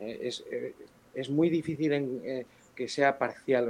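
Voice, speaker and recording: A man speaks in a plain, everyday voice at a fairly high pitch. His pace is fairly slow. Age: 50s. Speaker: building surveyor and builder. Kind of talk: interview; role-play sales call.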